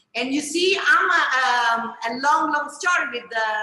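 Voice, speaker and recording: With an Italian accent, a woman speaks at a fairly slow pace in a high pitch and a bright, sharp tone, with audible room echo. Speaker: chef. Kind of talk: book presentation talk. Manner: halting.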